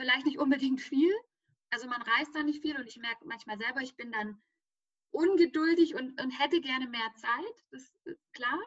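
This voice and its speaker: This woman's high-pitched voice has big swings in loudness. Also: ordinary pitch variation, moderate pace. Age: 30s. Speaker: business founder. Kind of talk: interview.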